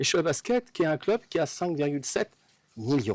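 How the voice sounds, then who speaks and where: Recorded very cleanly against a silent background, a man speaks at a moderate pace with lively intonation, the sound dry and close with no echo. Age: 60s. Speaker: sports fan. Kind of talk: interview. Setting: outdoors. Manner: halting. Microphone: distorted, clipping audio.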